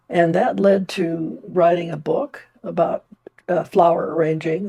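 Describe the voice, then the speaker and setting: A woman speaks with a fairly low pitch and a dark, mellow tone. Her voice is somewhat breathy, her intonation fairly even. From India. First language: Indian language (Hindi). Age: 90s. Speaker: retired nurse and artist. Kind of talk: personal testimony interview. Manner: halting with fillers.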